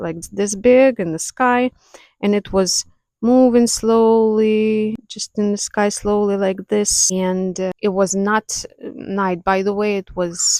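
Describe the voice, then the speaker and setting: With fairly even intonation, a woman speaks at a very slow pace in a dry, close sound with no echo. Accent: non-native. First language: not English. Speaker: spiritual content creator, clairvoyant. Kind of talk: casual talk to camera. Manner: unscripted, hesitant.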